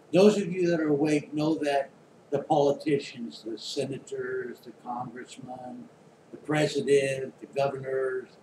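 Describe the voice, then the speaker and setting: Over noticeable background noise, someone with an American accent speaks at a moderate pace with ordinary pitch variation. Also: man. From Oklahoma, then San Francisco Bay Area. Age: 60s. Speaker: YouTuber. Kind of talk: monologue. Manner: casual, with filler words.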